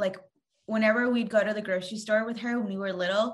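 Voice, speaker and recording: This woman's voice sits fairly high. She speaks at a fairly quick pace. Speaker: podcast host. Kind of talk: casual chat. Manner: loud.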